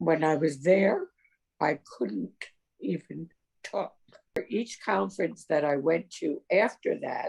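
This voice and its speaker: Speaking with an American accent, a woman talks at a very slow pace. Her pauses are long and frequent. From New York. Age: 70s. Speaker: person with a rare skin condition telling her story. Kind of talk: personal testimony.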